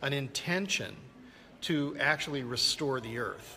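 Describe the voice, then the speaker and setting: Over noticeable background noise, a man talks at a fairly slow pace in a fairly high pitch with ordinary pitch variation. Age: 60s. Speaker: land restoration expert and filmmaker. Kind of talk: interview. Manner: halting, many repeated words.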